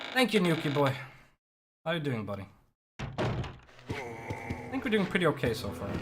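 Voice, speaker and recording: Over music in the background, the speech moves at a moderate pace with long, frequent pauses. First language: not English. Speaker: speedrunner streaming a game. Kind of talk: live gameplay commentary. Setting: live charity stream. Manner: casual, conversational.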